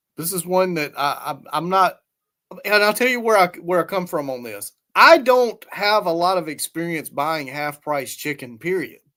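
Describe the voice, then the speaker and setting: A high-pitched man with a Southern US accent, bright, sharp tone, lively intonation and moderate pace. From US South. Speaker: YouTube guest commentator. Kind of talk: casual chat.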